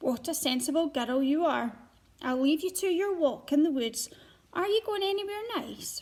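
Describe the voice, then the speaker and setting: A woman puts on a growling character voice, high-pitched and delivered at a moderate pace. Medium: read story.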